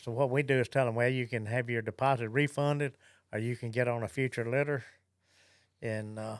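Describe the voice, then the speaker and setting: Someone talks at a fairly quick pace with a Southern US accent and monotone, flat intonation. The recording is very clean, with a silent background. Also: man, medium pitch for a man. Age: 70s. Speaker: gun dog trainer and kennel director. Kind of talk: podcast interview.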